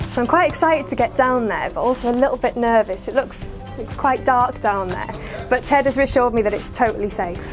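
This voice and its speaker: A woman talks at a fairly quick pace in a high voice with ordinary pitch variation. Clear music plays in the background. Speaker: vlogger. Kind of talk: casual vlog chat. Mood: excited, slightly nervous. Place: tunnel cave.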